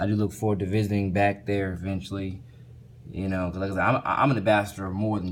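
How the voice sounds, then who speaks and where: In an American accent, a man with a very deep, low pitch talks at a very fast pace in a monotone, flat delivery, with audible room echo around him. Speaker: vlogger. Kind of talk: casual vlog monologue. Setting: hotel room. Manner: halting, repetitive with fillers.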